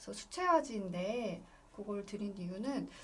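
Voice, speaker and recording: In a room with audible echo, a woman talks at a medium pitch and a fairly slow pace. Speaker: illustrator teaching an art class. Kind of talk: online class tutorial.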